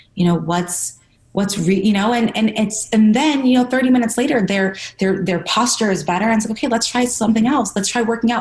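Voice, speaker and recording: A woman talks at a fairly quick pace, her voice fairly high and somewhat breathy. Her pitch varies in an ordinary way while her loudness stays very even. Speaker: personal trainer. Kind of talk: interview. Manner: fast.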